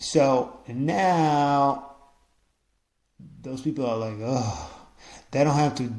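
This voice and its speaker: Audible room echo surrounds a man with an Israeli accent who speaks at a medium pitch with ordinary pitch variation. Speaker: podcaster. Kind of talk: casual monologue. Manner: halting, many repetitions and fillers.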